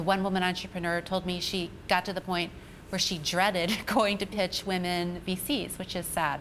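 Amid light background noise, a woman with a normal speaking voice talks at a medium pitch and moderate pace, with fairly even intonation. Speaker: tech reporter. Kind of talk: TV interview. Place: studio.

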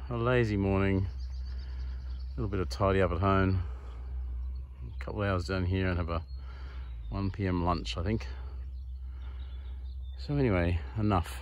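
A man speaks at a moderate pace with long, frequent pauses and a somewhat breathy, very deep, low voice. The sound is dry, with no echo. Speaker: vlogger. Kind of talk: casual vlog chat. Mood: relaxed, content. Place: open country. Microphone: phone near.

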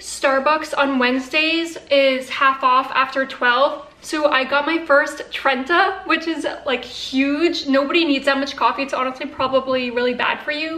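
A woman uses a raised, projected voice at a fairly slow pace. Her intonation is fairly even, and room echo is audible. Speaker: vlogger. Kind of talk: casual vlog chat. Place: kitchen. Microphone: phone near.

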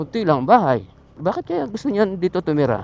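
A man at a high pitch with ordinary pitch variation, in a dry, close recording with no echo. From Batangas, Philippines. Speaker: motorcycle vlogger. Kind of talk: casual vlog narration. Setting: outdoors riding a motorcycle. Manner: animated.

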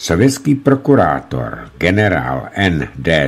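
A man's very deep, low voice moves through very wide pitch swings. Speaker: narrator reading a book. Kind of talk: reading aloud from a book. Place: studio. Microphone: studio mic.

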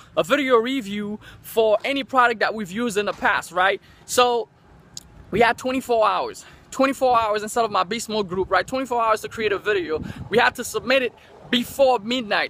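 The man's voice has a bright, sharp tone, and the sound is dry with no echo. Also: ordinary pitch variation, moderate pace. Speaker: online marketer vlogger. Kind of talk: casual vlog chat. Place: street. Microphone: phone near.

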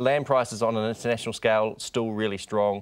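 A man speaks very fast with a New Zealand accent. His fairly low voice stays monotone and flat. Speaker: bank rural economist. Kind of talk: TV interview. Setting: studio. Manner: halting, many repetitions and fillers. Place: studio. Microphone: lapel.

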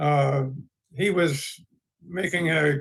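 Bright and sharp in tone, the voice shows ordinary pitch variation. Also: man. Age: 80s+. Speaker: board appointment applicant, retired professor. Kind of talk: formal public testimony. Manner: halting, many fillers.

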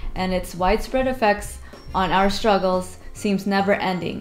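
Faint music plays in the background while a woman speaks at a fairly slow pace with fairly even intonation. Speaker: church service host. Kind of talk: scripted welcome announcement. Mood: warm, gentle. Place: home room.

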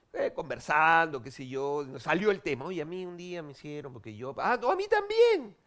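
Over a quiet background, a high-voiced man talks at a moderate pace with lively intonation and hardly any pauses. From Peru. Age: 40s. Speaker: TV host and comedian; TV host, comedian. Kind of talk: talk show interview. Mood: playful, joking. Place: studio. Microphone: headset.

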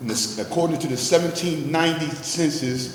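Speaking at a fairly quick pace, a man with an American accent uses a fairly high pitch and ordinary pitch variation, with noticeable background noise and audible room echo. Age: 60s. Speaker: business owner giving public testimony. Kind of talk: public hearing testimony.

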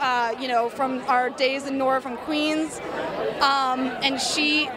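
Against crowd noise in the background, a woman speaks at a fairly slow pace in a dry sound with no echo. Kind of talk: interview answer. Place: hall. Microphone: handheld.

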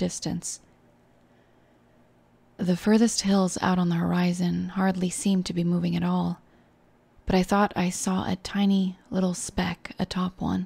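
A soft-spoken woman talks at a moderate pace. The recording is very clean, with a silent background. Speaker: VTuber reading horror stories. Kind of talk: horror story reading. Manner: soft, comforting.

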